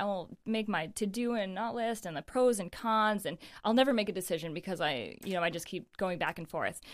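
A woman with an American accent talks at a moderate pace and fairly high pitch. She has a plain, everyday voice with ordinary pitch variation, on a very clean recording with a silent background. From western New York (Naples). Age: 30s. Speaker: professional distance runner. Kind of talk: casual chat.

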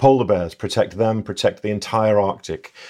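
A man speaks with an English accent and a dark, mellow tone at a fairly low pitch. His pace is moderate and the background is quiet. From England. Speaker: conservation ecologist. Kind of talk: casual interview.

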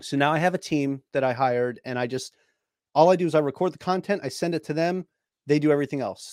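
Talking at a fairly quick pace, a man speaks with a New York accent. His pitch is fairly high with ordinary variation, and the sound is dry and close with no echo. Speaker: personal finance podcaster, Navy veteran. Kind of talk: interview conversation. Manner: talkative.

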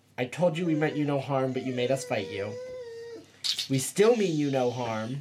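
In a put-on character voice, the speaker talks at a low-to-middle pitch and a moderate pace. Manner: put-on voice.

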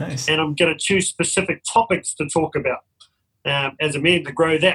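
A man speaks at a high pitch. His tone is bright and sharp. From New Zealand. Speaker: men's mentor sharing lived experience of depression. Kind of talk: personal testimony in interview. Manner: passionate.

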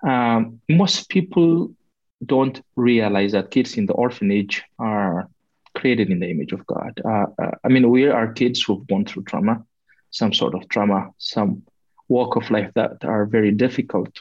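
At a fairly slow pace, an unremarkable speaking voice moves with lively intonation. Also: man, medium pitch for a man. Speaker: care leaver advocate. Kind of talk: interview answers.

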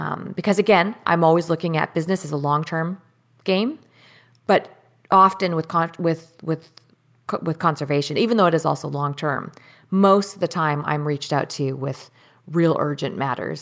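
A woman with a Canadian accent, fairly low-pitched, at a moderate pace with ordinary pitch variation. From Surrey, British Columbia, Canada. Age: 30s. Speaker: professional angler and entrepreneur. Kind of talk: casual interview chat. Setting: video call.

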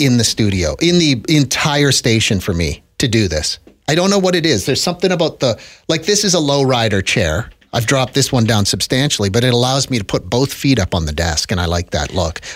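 Vocal fry and very wide pitch swings mark this fairly quick delivery in a Canadian accent, with very even loudness. The recording is very clean with a silent background. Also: man. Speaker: radio host. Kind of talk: casual chat. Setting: studio. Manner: relaxed. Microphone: close to the mic.

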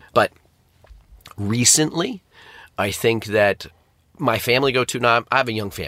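A man with an American accent at a medium pitch and moderate pace, ordinary pitch variation, long, frequent pauses and a dry, close sound with no echo. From upstate New York, US. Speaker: restaurant franchising and turnaround strategist. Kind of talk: podcast interview.

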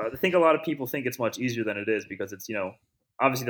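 A man with an American accent speaks with lively intonation. The recording is very clean, with a silent background. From Philadelphia. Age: 30s. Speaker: personal trainer. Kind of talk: casual chat.

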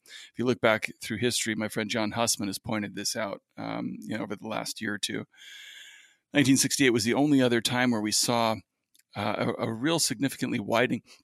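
Speaking at a very fast pace with vocal fry, this voice has a dry, close sound with no echo, on a very clean recording with a silent background. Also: man, medium pitch for a man, fairly even intonation. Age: 40s. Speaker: independent financial analyst. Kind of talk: interview. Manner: halting, with many fillers.

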